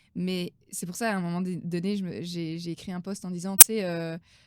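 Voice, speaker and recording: A woman speaks with a Belgian accent and fairly even intonation. The recording is very clean, with a silent background. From Belgium. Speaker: business coach. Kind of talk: interview.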